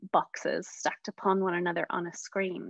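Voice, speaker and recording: A woman with a western Irish accent in a dry, close recording with no echo. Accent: Irish (west of Ireland). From west of Ireland. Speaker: social worker leading a guided prayer session. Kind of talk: guided meditation with movement instructions.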